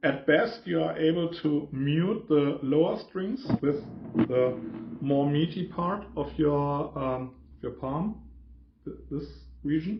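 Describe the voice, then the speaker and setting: A man at a very slow pace, with fairly high pitch and ordinary pitch variation. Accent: German. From Germany. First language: German. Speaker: guitarist. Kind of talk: tutorial. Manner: halting.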